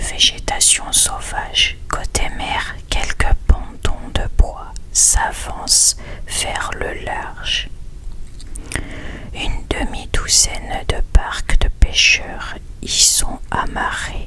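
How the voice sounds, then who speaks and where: A man whispers at a very slow pace, his loudness swinging widely over noticeable background noise. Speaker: ASMR content creator. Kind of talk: whispered story reading. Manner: whispered, soft-spoken.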